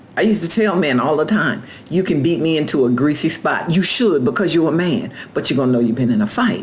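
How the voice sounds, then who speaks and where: Amid noticeable background noise and audible room echo, a woman with a very deep, low pitch speaks at a very fast pace in an animated tone, her pitch swinging very widely while her loudness stays very even. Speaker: carpenter and former union steward. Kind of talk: casual vlog monologue.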